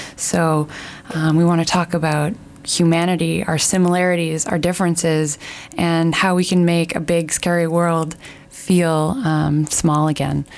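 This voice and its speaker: A woman with a Canadian accent has an ordinary speaking voice at a fairly low pitch. She talks at a fairly slow pace with very even loudness. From Canada. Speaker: radio host. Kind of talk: radio show chat. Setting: radio studio. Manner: warm, upbeat.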